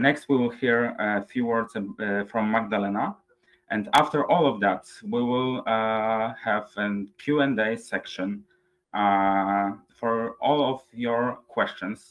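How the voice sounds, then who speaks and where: A man speaks very slowly with a Polish accent and fairly even intonation, with faint music in the background. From Poland. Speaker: webinar moderator. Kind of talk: webinar moderation. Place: home room.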